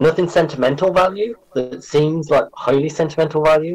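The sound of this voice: A man's fairly high voice with a slightly mellow tone, ordinary pitch variation and an English accent. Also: fairly quick pace.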